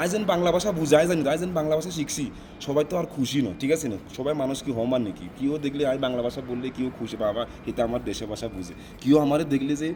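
This man talks with a Noakhali accent, his pitch fairly high and his intonation lively. Background noise is noticeable. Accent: speaks Bengali with Noakhali regional dialect. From South Africa. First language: not Bengali (South African) (speaking Bengali). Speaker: Bengali-speaking foreigner interviewee. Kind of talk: casual interview.

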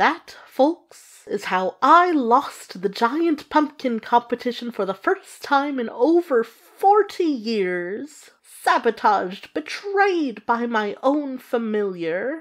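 Speaking at a very slow pace in a put-on character voice, the speaker leaves hardly any pauses. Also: woman, high pitch for a woman. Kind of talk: storytelling narration. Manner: exasperated, wry.

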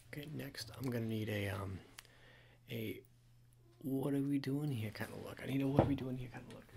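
Soft-spoken and somewhat breathy, a man with a dark, mellow tone talks at a fairly quick pace with ordinary pitch variation and big swings in loudness over noticeable background noise. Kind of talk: roleplay addressing viewer as model. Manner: soft, close ASMR speaking. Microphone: phone near.

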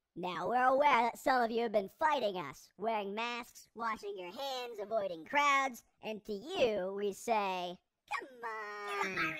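This is a cartoonish character voice at a fairly high pitch. The pace is fairly slow. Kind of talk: public service announcement parody. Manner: chipper, salesman-like, smug.

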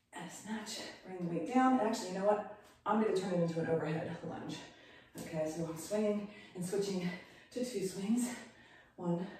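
A woman at a moderate pace with long, frequent pauses, in strong room echo over light background noise. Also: ordinary pitch variation. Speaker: fitness instructor. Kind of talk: workout instruction. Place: gym. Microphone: camera far.

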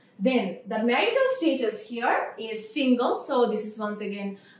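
A speaker with a Bengali accent talks at a fairly slow pace, with audible echo from the room. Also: woman. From Bangladesh. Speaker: teacher. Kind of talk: lecture. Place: classroom.

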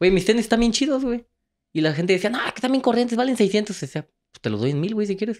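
Over a quiet background, a high-pitched man talks at a very fast pace with lively intonation and big swings in loudness. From Mexico, Guanajuato (Moroleón); Guanajuato, Mexico. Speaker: travel content creator and entrepreneur; travel content creator. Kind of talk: casual chat. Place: studio. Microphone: handheld.

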